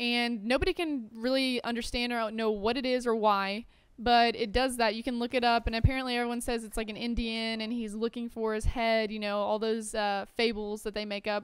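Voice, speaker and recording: A woman with a plain, everyday voice talks at a fairly quick pace with hardly any pauses, fairly high pitch and fairly even intonation. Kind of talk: casual gaming commentary with storytelling.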